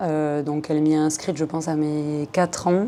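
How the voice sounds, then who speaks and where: A woman with a very deep, low pitch and a dark, mellow tone speaks at a moderate pace. Her intonation stays fairly even. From southern France. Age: 20s. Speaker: hip-hop dancer. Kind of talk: podcast interview.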